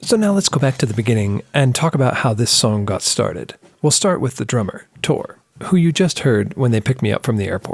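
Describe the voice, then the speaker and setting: Somewhat breathy and at a fairly quick pace, a man speaks with an American accent at a medium pitch and very wide pitch swings. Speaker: podcast host and music producer. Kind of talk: podcast narration.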